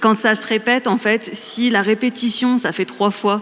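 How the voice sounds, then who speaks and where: The woman speaks very slowly with fairly even intonation. Noticeable background noise is present. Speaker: podcaster. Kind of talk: panel discussion.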